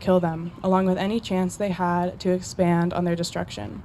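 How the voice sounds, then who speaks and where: A woman speaks with a dark, mellow tone. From Colorado, USA. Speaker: college student. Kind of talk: personal essay reading.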